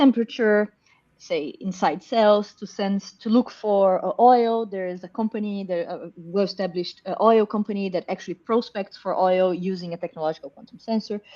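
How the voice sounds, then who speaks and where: A woman speaks at a medium pitch and a moderate pace with a dark, mellow tone, ordinary pitch variation, hardly any pauses and big swings in loudness. The sound is dry and close with no echo, over a quiet background. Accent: Brazilian. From Brazil. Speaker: professor. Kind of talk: interview.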